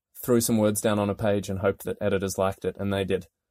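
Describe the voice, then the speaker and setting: At a fairly quick pace, a man with an Australian accent speaks in a fairly low, dark, mellow voice, the sound dry and close with no echo in a very clean recording with a silent background. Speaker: investigative journalist. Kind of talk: interview.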